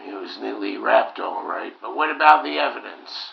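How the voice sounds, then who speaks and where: Raspy put-on character voice from a man, delivered at a moderate pace. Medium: short film.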